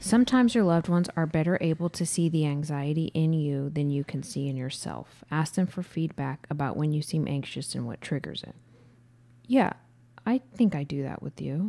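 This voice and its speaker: With a dark, mellow tone and a very deep, low pitch, a woman speaks at a moderate pace using lively intonation. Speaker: podcast co-host. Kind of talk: casual chat. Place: studio. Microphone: studio mic.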